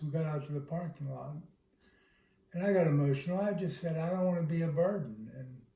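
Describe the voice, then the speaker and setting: The tone is dark and mellow. Delivery moves at a fairly quick pace. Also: man. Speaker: husband living with Parkinson's, video series host. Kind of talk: casual chat. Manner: halting.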